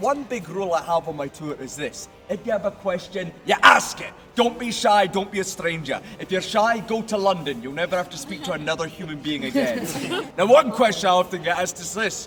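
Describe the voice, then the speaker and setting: Someone with a Scottish accent talks at a fairly quick pace with lively intonation and big swings in loudness. Noticeable background noise runs under the voice. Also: man, high pitch for a man. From Scotland, Edinburgh. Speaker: ghost tour guide. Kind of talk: guided tour performance. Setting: outdoors at night with tour group. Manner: animated.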